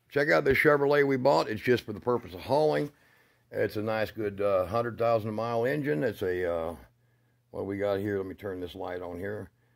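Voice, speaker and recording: A man talks at a moderate pace against a quiet background, his pitch fairly low and his voice a plain, everyday voice. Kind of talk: casual vlog chat. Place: garage. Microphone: phone near.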